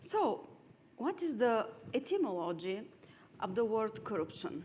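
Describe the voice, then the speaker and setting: Her pitch swings very widely as a woman with a Bulgarian accent speaks at a fairly slow pace. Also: fairly high pitch for a woman. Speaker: lawyer. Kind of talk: lecture.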